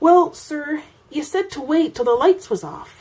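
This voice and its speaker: A woman puts on a character voice with a high pitch. She speaks at a moderate pace. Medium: read story. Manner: nervous, deferential.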